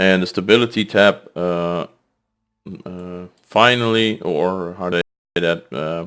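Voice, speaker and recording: A man with a Dutch accent speaks at a fairly slow pace. His pitch is very deep and low, and the recording is very clean with a silent background. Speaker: gaming streamer. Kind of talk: gameplay commentary. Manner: halting.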